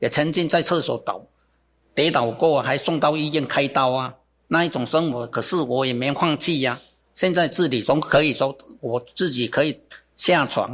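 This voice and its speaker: A man speaks in an ordinary speaking voice, pitched fairly high for a man, with ordinary pitch variation. His pace is moderate, and the recording is very clean with a silent background. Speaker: bonsai gardener and business founder. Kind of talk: interview. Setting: studio. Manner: casual with many filler particles.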